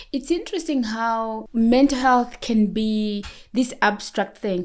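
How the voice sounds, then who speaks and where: At a very slow pace, a woman speaks with a fairly high pitch and ordinary pitch variation. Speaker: nurse and sleep educator. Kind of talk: podcast interview. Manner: loud; talkative.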